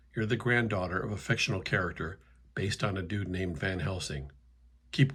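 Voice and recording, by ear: The speaker is reading aloud in a natural voice, with ordinary pitch variation.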